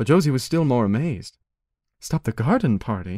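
The voice, somewhat breathy, moves at a fairly quick pace with very wide pitch swings on a very clean recording with a silent background. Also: man. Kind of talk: audiobook narration reading a short story aloud. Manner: measured, expressive storyteller pacing.

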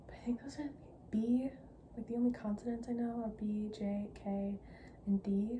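Noticeable background noise accompanies a soft-spoken woman talking at a moderate pace in a monotone, flat manner. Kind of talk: casual vlog chat. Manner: soft, hushed ASMR chatting voice. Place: home room. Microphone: phone near.

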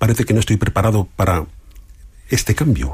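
Noticeable background noise under a man's fairly low pitch. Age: 50s. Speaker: coach and entrepreneur. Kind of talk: radio interview.

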